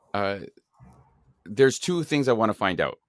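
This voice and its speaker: With a Canadian accent and vocal fry, a man talks at a fairly quick pace and a medium pitch. His voice makes very wide pitch swings in a dry, close sound with no echo. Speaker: podcast host. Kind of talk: interview conversation.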